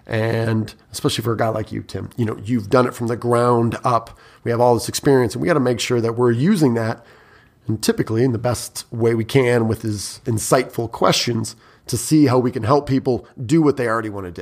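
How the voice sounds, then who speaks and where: A man's mid-range voice, moving along rather quickly. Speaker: sales trainer and author. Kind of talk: casual interview chat.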